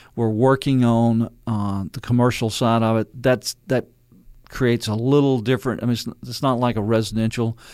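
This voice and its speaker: At a moderate pace, a man with a Louisiana accent speaks at a medium pitch in a monotone, flat intonation. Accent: Louisiana Southern. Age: 60s. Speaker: mayor. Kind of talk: radio interview. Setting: studio.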